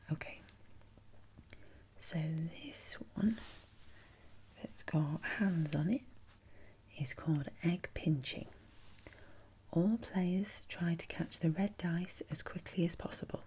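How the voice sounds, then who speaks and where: Soft-spoken and somewhat breathy, a woman talks at a very slow pace with long, frequent pauses, her fairly low voice dark and mellow in tone with ordinary pitch variation. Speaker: ASMR creator. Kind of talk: ASMR role-play as a board game shop assistant, reading game instructions. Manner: soft-spoken, rambling. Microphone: studio mic.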